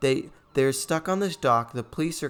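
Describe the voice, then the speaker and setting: A man with a fairly high pitch. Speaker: gaming and film commentary youtuber. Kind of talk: film review commentary. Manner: animated.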